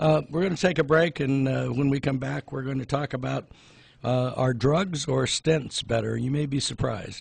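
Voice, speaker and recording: A man with a fairly high pitch speaks at a moderate pace, his voice somewhat breathy and his intonation fairly even. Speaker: pharmacist. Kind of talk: casual chat. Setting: studio.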